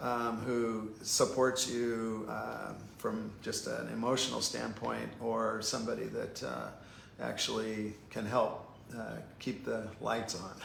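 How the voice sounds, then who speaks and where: Heard with audible room echo, a man speaks at a very slow pace. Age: 60s. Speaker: painter. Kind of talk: casual chat. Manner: halting.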